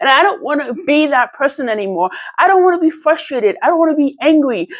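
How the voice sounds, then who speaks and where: Talking at a fairly quick pace in a New York accent, a woman uses high pitch with very wide pitch swings. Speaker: channel owner, motivational vlogger. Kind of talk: personal testimony monologue. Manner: fast; halting, self-correcting.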